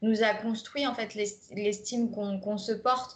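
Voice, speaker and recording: This woman's voice is fairly high and somewhat breathy, with fairly even intonation. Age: 20s. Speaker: life coach. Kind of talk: recorded masterclass, conversational presentation. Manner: hesitant, many fillers.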